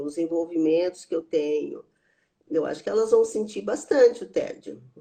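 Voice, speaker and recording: A woman speaks at a fairly slow pace in a fairly low, dark and mellow voice with ordinary pitch variation. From rural interior of São Paulo state, Brazil. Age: 70s. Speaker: psychotherapist and theologian. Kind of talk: interview conversation.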